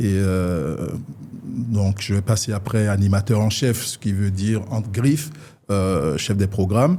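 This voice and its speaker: This man talks at a very slow pace in a fairly low pitch. His tone is dark and mellow, with ordinary pitch variation. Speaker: radio presenter and communicator. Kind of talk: interview. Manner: halting, many fillers and repetitions.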